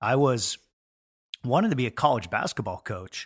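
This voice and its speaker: A man with a Pacific Northwest accent at a moderate pace, with ordinary pitch variation and a dry, close sound with no echo, in a very clean recording with a silent background. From Washington State, Puget Sound. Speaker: sports chaplain, former pastor. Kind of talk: casual interview. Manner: halting, many fillers and repeats.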